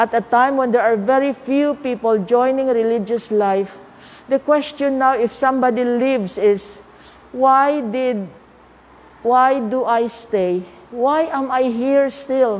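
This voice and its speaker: Her pitch sits high for a woman, and her intonation stays fairly even. She speaks at a very slow pace. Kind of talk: spiritual talk. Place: church. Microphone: lapel.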